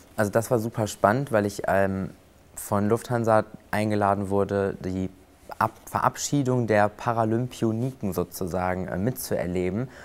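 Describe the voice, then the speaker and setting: A man with an ordinary speaking voice talks at a moderate pace, fairly low in pitch, with fairly even intonation. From western Germany, near Cologne. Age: 20s. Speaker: flight attendant and prosthesis user. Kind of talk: interview.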